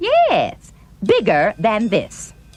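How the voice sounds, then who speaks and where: Extremely high pitch in a put-on character voice. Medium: audio drama. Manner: eager, insistent.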